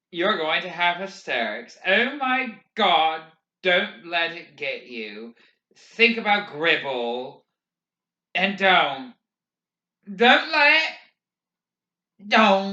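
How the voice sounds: In a put-on character voice with a bright, sharp tone, the speaker moves at a very slow pace, making big pitch swings and taking long, frequent pauses. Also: man, high pitch for a man.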